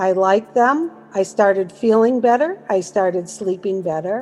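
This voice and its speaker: With music playing in the background, a woman speaks with an American accent and ordinary pitch variation. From US Northeast, Massachusetts. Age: 60s. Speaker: network marketing promoter. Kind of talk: testimony. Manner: casual, conversational.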